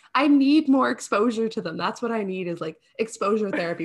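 A somewhat breathy woman's voice at a fairly quick pace, with lively intonation. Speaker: podcast host. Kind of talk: casual interview chat. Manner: animated, enthusiastic.

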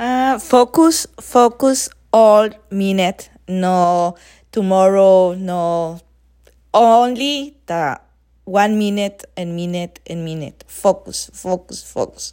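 A woman with a Spanish accent speaks at medium pitch in a dark, mellow tone with lively intonation. Her pace is very slow and her loudness swings widely. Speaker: friend. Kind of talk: casual chat, well-wishes. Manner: halting, searching for words.

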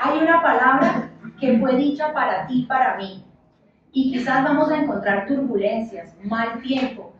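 A woman's high voice, fairly slow, with ordinary pitch variation and audible room echo. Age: 30s. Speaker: church leader, preacher. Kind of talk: sermon.

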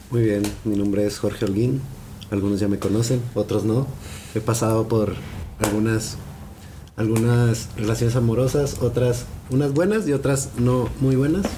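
A man at medium pitch and a moderate pace, with fairly even intonation, very even loudness and long, frequent pauses, plus audible room echo and noticeable background noise. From Chihuahua, northern Mexico. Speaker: law graduate, podcast panelist. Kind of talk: casual chat.

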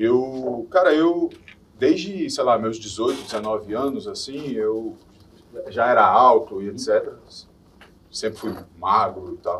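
Long, frequent pauses punctuate a man's very slow delivery. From Minas Gerais, Brazil (Belo Horizonte). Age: 40s. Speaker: former reality show contestant, model and DJ. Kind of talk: casual chat.

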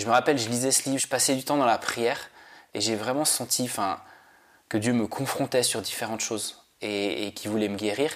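A man with a medium pitch talks at a fairly quick pace. His pitch varies in an ordinary way. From Switzerland. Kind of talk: testimony. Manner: halting.

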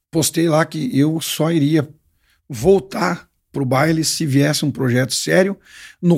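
Recorded very cleanly against a silent background, a man with an unremarkable speaking voice talks at a fairly slow pace in a fairly high pitch with ordinary pitch variation. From southwest Paraná, Brazil. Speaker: singer. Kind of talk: casual chat.

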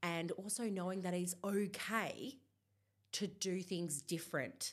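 With an Australian accent, a woman speaks in an animated tone. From Perth, Australia. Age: 30s. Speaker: body acceptance influencer. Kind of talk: interview. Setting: studio.

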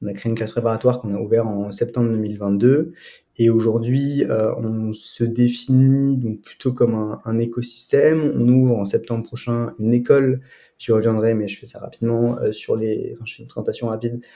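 A man speaks at a moderate pace with a medium pitch and a dark, mellow tone. His intonation is monotone and flat, while his loudness swings widely. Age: 20s. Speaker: student and prep school founder. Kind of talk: interview. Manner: hesitant, many fillers and repetitions.

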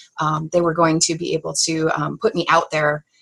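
A woman speaks at a moderate pace in a very deep, low pitch with a bright, sharp tone and vocal fry. Her intonation stays monotone and flat. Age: 30s. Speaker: graphic designer and novelist. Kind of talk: interview.

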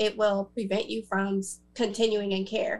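A woman with an unremarkable speaking voice, medium pitch, fairly even intonation and a moderate pace. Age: 30s. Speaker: author and HIV advocate. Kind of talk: panel interview.

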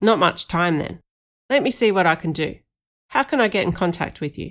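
In a put-on character voice, a woman talks gruffly at a fairly quick pace and fairly low pitch, on a very clean recording with a silent background. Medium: read story. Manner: terse, blunt.

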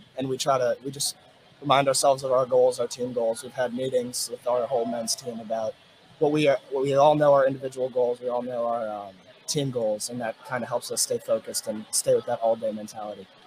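A man with an American accent, monotone and flat in intonation, at a fairly quick pace amid noticeable background noise. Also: medium pitch for a man. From Virginia (Richmond). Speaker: college swimmer. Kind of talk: casual interview.

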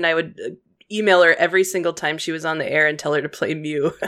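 A woman speaks at a very fast pace. Her pitch is fairly low and her intonation fairly even. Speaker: podcast co-host.

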